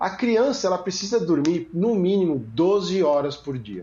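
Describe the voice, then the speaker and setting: A man's high-pitched voice with lively intonation. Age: 40s. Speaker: podcast host, father. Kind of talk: casual chat.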